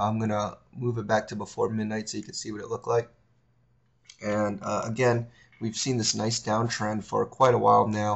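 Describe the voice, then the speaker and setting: At a fairly quick pace, a somewhat breathy voice delivers its words. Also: man. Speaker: forex trading educator. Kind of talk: tutorial. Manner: casual, with many fillers.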